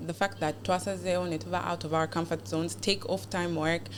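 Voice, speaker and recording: Her pitch is fairly low, with vocal fry. The woman moves at a moderate pace, and her pitch swings very widely. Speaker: beauty pageant contestant. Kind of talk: podcast interview. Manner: code-switching English and Luganda.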